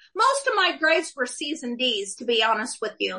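The voice is raised and projected, with a bright, sharp tone. It carries an American accent. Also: woman. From Oklahoma. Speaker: author and former cafe owner. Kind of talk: casual interview, personal testimony.

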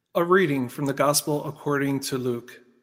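A man with an ordinary speaking voice, fairly high in pitch, with ordinary pitch variation at a fairly slow pace. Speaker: liturgical reader. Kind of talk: scripture reading aloud.

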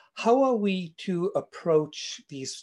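A man speaking at a very slow pace over a quiet background. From South Africa. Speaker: co-producer and discussion moderator. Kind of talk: panel discussion. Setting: video call. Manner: formal.

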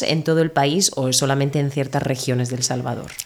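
There is noticeable background noise behind the woman speaking. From Murcia, southeastern Spain. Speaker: Spanish teacher, podcast co-host. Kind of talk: casual interview conversation; scripted intro.

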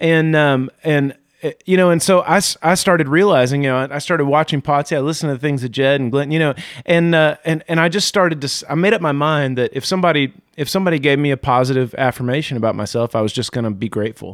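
Very fast and fairly high-pitched, a man talks with ordinary pitch variation on a very clean recording with a silent background. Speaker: pastor.

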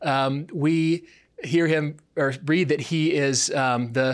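A man with an American accent has a fairly high pitch and fairly even intonation. The recording is very clean, with a silent background. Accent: American, marry and Mary merged. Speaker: associate pastor. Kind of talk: sermon. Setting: church worship service, also streamed. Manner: halting, many fillers and repeated words.

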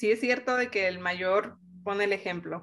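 Against a quiet background, a woman with a Mexican accent speaks fairly slowly in a fairly high pitch, her tone bright and sharp and her intonation fairly even. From Mexico. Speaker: engineer. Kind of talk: interview.

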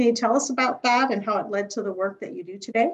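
A woman with a normal speaking voice and an American accent talks at a fairly high pitch with ordinary pitch variation. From United States. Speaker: HR podcast host. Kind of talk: interview.

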